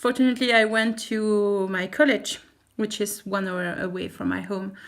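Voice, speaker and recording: With a French accent, a woman talks at a medium pitch. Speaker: teacher and vlogger. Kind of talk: vlog. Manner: halting.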